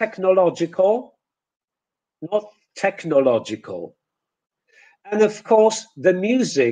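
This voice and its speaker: A high-pitched man with a Polish accent and a dark, mellow tone, lively intonation, a very slow pace and long, frequent pauses. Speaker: English teacher, lecturer. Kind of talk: online lecture, webinar. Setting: webinar, video call. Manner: slow, deliberate, repeating words for comparison.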